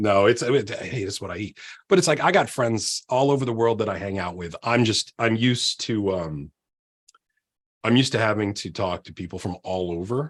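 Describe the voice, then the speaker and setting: With an American accent, a normal speaking voice moves at a moderate pace with lively intonation and big swings in loudness. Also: man, fairly low pitch for a man. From Virginia, US. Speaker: podcast guest, agile coach. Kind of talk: casual podcast conversation.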